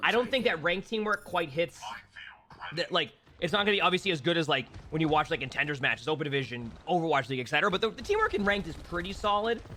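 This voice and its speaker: With an American accent, a man with a high pitch talks at a very fast pace with lively intonation over noticeable background noise. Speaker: game streamer. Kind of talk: live stream chat, answering viewer question. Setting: live stream. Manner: casual, many fillers and repetitions.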